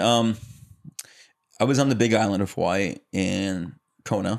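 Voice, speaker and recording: An American accent is heard here. It belongs to a man. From US Midwest and South (Chicago area, then Atlanta area). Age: 20s. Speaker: actor and stuntman. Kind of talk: casual chat. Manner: animated.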